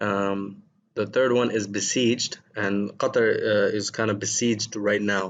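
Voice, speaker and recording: With a non-native accent, a man speaks fairly slowly in a fairly low pitch and a monotone, flat intonation. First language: not Arabic. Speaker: English teacher. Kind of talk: lesson. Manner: hesitant, many fillers.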